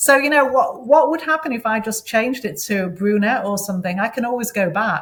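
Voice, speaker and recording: Somewhat breathy and fairly high, a woman's voice moves at a fairly quick pace with hardly any pauses and lively intonation, in a British accent. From England, Manchester. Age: 60s. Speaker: interview guest. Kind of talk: interview.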